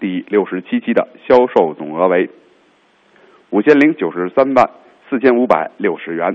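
At a moderate pace, the voice shows vocal fry and very wide pitch swings. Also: man. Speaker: lottery draw presenter. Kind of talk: live lottery announcement. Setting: lottery draw hall. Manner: formal.

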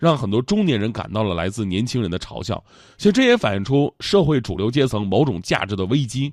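A man speaks at medium pitch in an animated tone with very wide pitch swings. He moves at a fairly quick pace. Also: quiet background. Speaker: radio host. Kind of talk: comedic talk-show monologue.

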